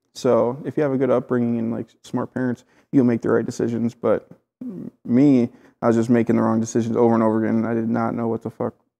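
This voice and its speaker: Over a quiet background, a man with a Midwestern accent talks at a very fast pace, his medium-pitched voice dark and mellow and his intonation monotone and flat. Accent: American Midwest. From Clinton, Iowa, USA. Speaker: painter and tattoo artist. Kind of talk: interview answer. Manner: casual, conversational. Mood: reflective, candid, some swearing. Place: home room. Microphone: lapel.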